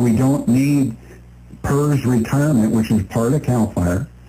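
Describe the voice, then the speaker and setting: A man's somewhat breathy, dark and mellow voice at a very slow pace, with ordinary pitch variation. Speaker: radio show co-host. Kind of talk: radio talk show. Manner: stutters.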